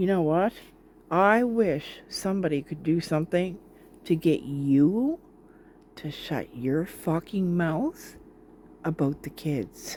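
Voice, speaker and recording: The pace is very slow. Long pauses come often. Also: woman, fairly low pitch for a woman. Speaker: commentary youtuber reacting to videos. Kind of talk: reaction commentary. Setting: at home, living room with sick father. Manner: heated; talking quietly. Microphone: hard to hear, sound problems.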